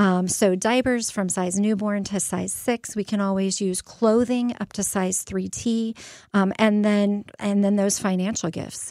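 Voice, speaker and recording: A normal speaking voice from a woman with an American accent, medium in pitch, with fairly even intonation and a moderate pace, in a very clean recording with a silent background. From Phoenix, Arizona. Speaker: pregnancy center executive director. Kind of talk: radio interview.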